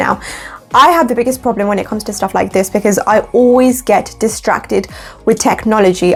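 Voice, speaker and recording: A woman at a medium pitch, animated in tone and very fast in pace, with music in the background. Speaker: lifestyle vlogger. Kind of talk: vlog tutorial. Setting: home, by a window.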